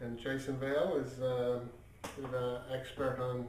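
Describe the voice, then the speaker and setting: There is noticeable background noise. The room echo is audible. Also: man. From Ireland. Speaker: magazine editor and vlogger. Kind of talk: casual video diary. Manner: hesitant, many fillers.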